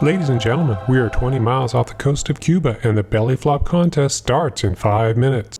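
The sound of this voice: A man's booming, put-on character voice at a medium pitch, fairly quick with hardly any pauses and very even loudness, over faint music in the background.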